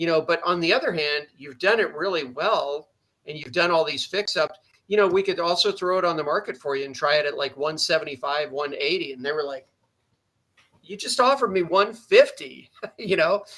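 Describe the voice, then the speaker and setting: A man speaks at a fairly quick pace in a bright, sharp tone. His pitch is high, with ordinary variation. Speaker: realtor and investor. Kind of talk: interview.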